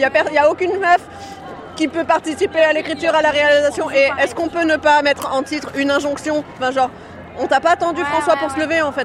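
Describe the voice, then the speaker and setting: Over crowd noise in the background, a woman talks at a very fast pace in a high pitch with fairly even intonation. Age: young. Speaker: young woman at a protest march. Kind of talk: street interview. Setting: outdoors at a street demonstration.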